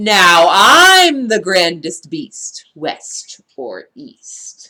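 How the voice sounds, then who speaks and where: Using a put-on character voice, a woman speaks at a very slow pace. Her pitch sits at a medium level for a woman and makes very wide swings. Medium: read story. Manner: warning, dramatic.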